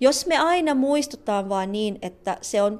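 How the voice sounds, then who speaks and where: Over a very clean recording with a silent background, a woman with a Tagalog accent talks very slowly at a fairly high pitch, her intonation lively. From Philippines. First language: Tagalog (speaking Finnish). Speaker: psychologist and trainer at a women's organisation. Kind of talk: interview testimony. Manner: halting.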